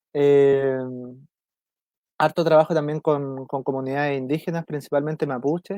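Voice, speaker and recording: In a Chilean accent, a man speaks at a moderate pace with a fairly high pitch and a dark, mellow tone. His intonation is monotone and flat, and the sound is dry and close with no echo. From south-central Chile. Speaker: environmental lawyer. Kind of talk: interview. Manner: halting.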